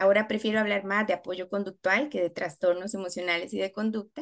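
A woman is speaking. Behind her, the background stays quiet. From Costa Rica. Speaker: special education teacher and university lecturer; special education teacher, university lecturer. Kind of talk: webinar presentation. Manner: hesitant, many filler sounds. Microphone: video call.

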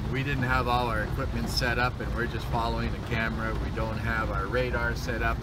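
A man is heard against loud background noise. The sound is dry, with no echo. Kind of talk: casual running commentary. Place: car. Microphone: phone near.

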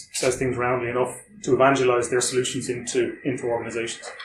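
A man talks in an Irish accent. There is audible room echo and light background noise. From Ireland. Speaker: security consultant; presenter. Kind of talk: conference talk. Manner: fast. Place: meeting room. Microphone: camera far.

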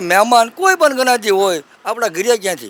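Noticeable background noise under a high-pitched male voice. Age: 60s. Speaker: village elder. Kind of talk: street interview.

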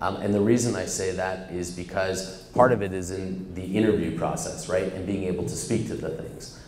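A man's very deep, low voice at a moderate pace, with fairly even intonation, audible room echo and light background noise. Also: hardly any pauses. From Canada. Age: 40s. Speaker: startup executive; guest. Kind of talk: onstage interview. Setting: stage with audience. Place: office. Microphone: handheld.

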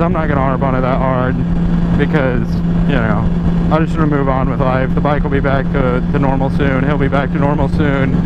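A man's fairly quick speech, dry with no echo, over loud background noise. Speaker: motorcycle vlogger. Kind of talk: casual vlog chat. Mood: calm, reflective. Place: motorbike. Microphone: helmet.

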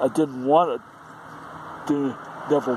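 Noticeable background noise runs behind a man talking. He keeps a fairly slow pace and fairly even intonation. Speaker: vlogger. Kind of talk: casual vlog chat. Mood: frustrated, complaining. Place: street. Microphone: phone near.

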